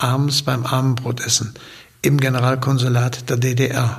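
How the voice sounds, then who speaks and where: A man talks at medium pitch and a fairly slow pace with monotone, flat intonation over noticeable background noise. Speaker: former party cultural secretary, eyewitness. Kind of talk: recalled interview testimony.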